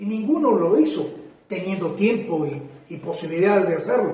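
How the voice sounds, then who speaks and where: A man's high-pitched voice with lively intonation and audible room echo. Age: 60s. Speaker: constitutional lawyer and former presidential precandidate. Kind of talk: interview. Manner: emphatic; hesitant fillers.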